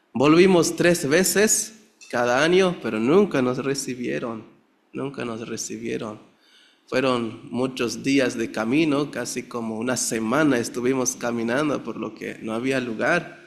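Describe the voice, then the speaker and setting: Lively intonation marks a man speaking in a Chiapas accent. His pitch is medium and his pace fairly slow. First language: Tzeltal (speaking Spanish). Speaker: pastor. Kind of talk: testimony. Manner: halting.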